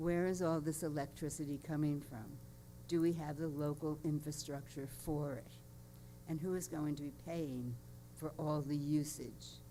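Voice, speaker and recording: Audible room echo surrounds a woman with a very deep, low pitch. Her tone is dark and mellow, her pace moderate. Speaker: public commenter at city council. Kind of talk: public comment.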